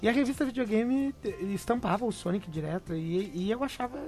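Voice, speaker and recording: A man's lively intonation at a fairly quick pace. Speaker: podcast host. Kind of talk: casual chat.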